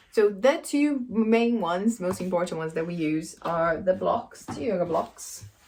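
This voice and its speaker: A woman's medium-pitched voice in a Brazilian accent, at a moderate pace with hardly any pauses and lively intonation. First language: Brazilian Portuguese. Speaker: yoga teacher and PhD student. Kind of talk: casual introduction and tutorial. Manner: hesitant, many fillers.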